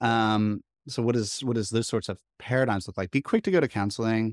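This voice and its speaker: A man's unremarkable speaking voice at a fairly quick pace, with ordinary pitch variation, in a very clean, silent recording with a dry, close sound and no echo. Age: 30s. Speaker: counseling student and ministry worker. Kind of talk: casual chat.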